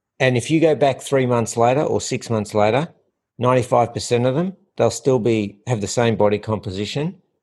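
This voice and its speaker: Against a quiet background, a man with an Australian accent speaks fairly quickly at a medium pitch with ordinary pitch variation. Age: 50s. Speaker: health and fitness coach. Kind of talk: casual interview. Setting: in person at host's home.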